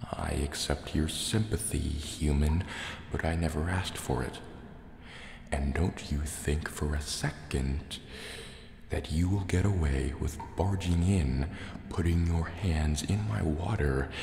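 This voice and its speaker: Amid noticeable background noise, a man with a very deep, low pitch uses a theatrical tone and ordinary pitch variation, speaking at a very slow pace with long, frequent pauses. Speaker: ASMR creator. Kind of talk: asmr roleplay, whispered in-character monologue as a menacing sea serpent dragon. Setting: cave with water sounds. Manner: soft-spoken, slow, suspicious, theatrical.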